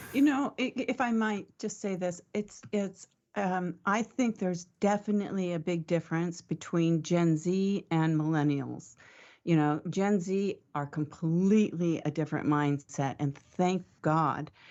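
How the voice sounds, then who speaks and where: A woman's fairly low voice at a fairly slow pace, with ordinary pitch variation and a normal speaking voice. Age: 60s. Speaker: marketing panelist. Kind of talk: panel discussion.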